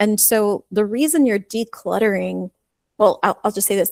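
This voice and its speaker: At a moderate pace, a woman with vocal fry speaks at a medium pitch in a dry, close sound with no echo. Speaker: life coach. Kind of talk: casual interview chat.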